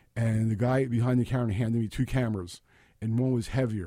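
The tone is dark and mellow, with a Brooklyn accent, at a fairly quick pace. The recording is very clean with a silent background. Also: man. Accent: New York (Brooklyn). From Brooklyn, New York City. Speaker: photographer. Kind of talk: interview.

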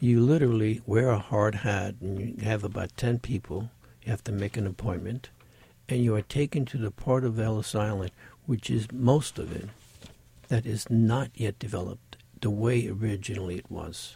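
A man's fairly low, dark, mellow voice, somewhat breathy, at a moderate pace with fairly even intonation. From Sicily, Italy. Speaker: painter. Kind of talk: casual interview.

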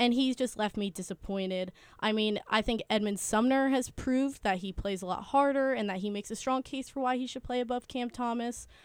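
A woman's plain, everyday voice, fairly high in pitch with ordinary variation, at a fairly quick pace with hardly any pauses. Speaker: podcast co-host. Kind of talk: casual sports podcast chat. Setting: studio.

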